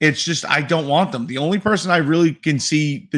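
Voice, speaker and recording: An unremarkable speaking voice with an American accent. It moves at a moderate pace with ordinary pitch variation. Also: man. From New York City. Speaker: sports podcast co-host. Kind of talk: casual chat.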